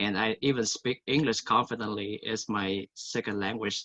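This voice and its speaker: A man with a Vietnamese accent, fairly low pitch and bright, sharp tone, at a fairly slow pace with monotone, flat intonation, in a dry, close sound with no echo. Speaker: college student. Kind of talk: testimony.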